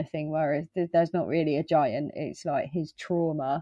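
With an English accent, a woman speaks at a fairly low pitch and with fairly even intonation. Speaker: horror podcast co-host. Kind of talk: casual chat.

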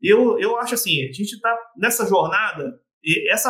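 This man has a high voice and lively intonation. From Espírito Santo, Brazil (Vila Velha). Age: 30s. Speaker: doctor and therapist. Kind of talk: casual interview chat.

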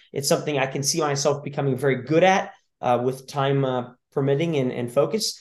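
Speaking at a fairly quick pace with an American accent, a man has an unremarkable speaking voice, a fairly high pitch and ordinary pitch variation. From California. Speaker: CrossFit and tactical games athlete. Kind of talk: casual chat.

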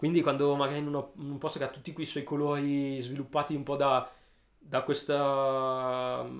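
His pitch fairly high, a man speaks at a moderate pace in a monotone with flat intonation. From Italy, Alessandria (Piedmont). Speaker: painter and street artist. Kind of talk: interview. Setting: studio. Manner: halting, many repetitions.

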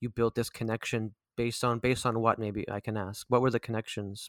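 Very fast and monotone, a man with medium pitch speaks flatly in a dry, close recording with no echo, very clean against a silent background. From Vancouver, Canada. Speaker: podcast host. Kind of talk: casual interview chat.

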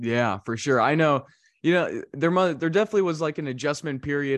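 Against a quiet background, a man with an ordinary speaking voice talks at a fairly quick pace with lively intonation. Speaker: sports podcast host. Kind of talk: casual interview chat.

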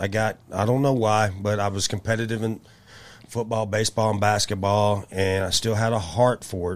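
Speaking at a moderate pace, a man with a Tennessee accent keeps a monotone, flat intonation in a fairly low voice. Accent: US Southern (Tennessee). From Memphis, Tennessee. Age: 50s. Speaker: martial arts coach. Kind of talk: interview.

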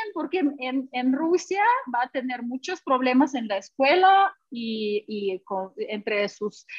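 A woman at a very slow pace, high in pitch with very wide pitch swings. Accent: Russian. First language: Russian (speaking Spanish). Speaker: language teacher. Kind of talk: interview. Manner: halting.

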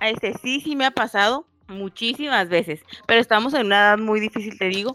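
A woman with a Mexican accent speaks at a fairly high pitch and a fairly quick pace. Her tone is bright and sharp, and the sound is dry and close with no echo. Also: ordinary pitch variation. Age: 30s. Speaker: podcast co-host. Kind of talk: casual chat.

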